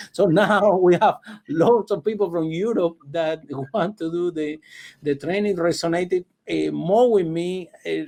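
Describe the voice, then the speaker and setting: With a non-native accent, a man talks at a fairly slow pace in a high pitch, his tone dark and mellow and his pitch variation ordinary. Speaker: public speaking coach. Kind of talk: interview.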